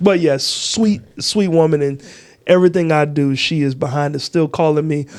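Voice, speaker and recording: A man with an American accent speaks at a fairly high pitch and a moderate pace, his tone animated. His pitch variation is ordinary, and background noise is noticeable. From Texas. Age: 40s. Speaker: comedian. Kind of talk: casual chat.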